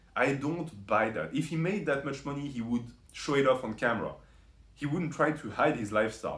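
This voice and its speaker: Over audible room echo, a man speaks at a moderate pace with lively intonation. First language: not English. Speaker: YouTube commentator. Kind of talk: commentary video monologue. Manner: frequent fillers and self-corrections.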